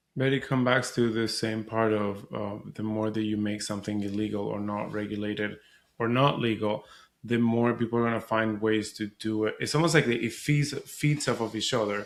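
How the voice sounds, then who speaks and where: On a very clean recording with a silent background, a man with a Spanish accent speaks at a moderate pace and medium pitch, his intonation fairly even. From Venezuela. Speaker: surrogacy podcaster and advocate. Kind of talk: podcast interview.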